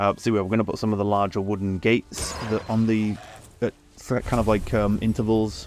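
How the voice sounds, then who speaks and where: A man's fairly low voice in a British accent, with fairly even intonation and a fairly quick pace, over music in the background. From Britain. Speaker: gaming YouTuber. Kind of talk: gameplay commentary. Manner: casual, hesitant with fillers.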